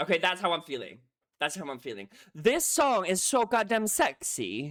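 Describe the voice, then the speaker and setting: A man speaks at a moderate pace and a high pitch, his tone animated and his pitch swinging very widely. The recording is very clean, with a silent background. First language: not English. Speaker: music reaction youtuber. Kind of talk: reaction video commentary. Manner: animated, excitable; halting, repeats words.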